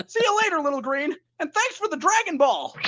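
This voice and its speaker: At a fairly quick pace, the put-on character voice rings out at an extremely high pitch. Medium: voice reel.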